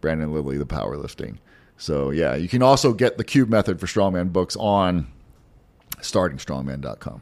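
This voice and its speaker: A man with an American accent speaks at a moderate pace in a very deep, low voice. His pitch swings very widely. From Pasadena, Texas. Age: 40s. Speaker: strongman athlete. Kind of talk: casual chat.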